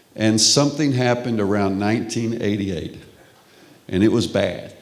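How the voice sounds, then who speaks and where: A man with a Texas accent talks at a fairly quick pace in a fairly low pitch. Audible room echo surrounds his voice. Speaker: professor. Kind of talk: lecture.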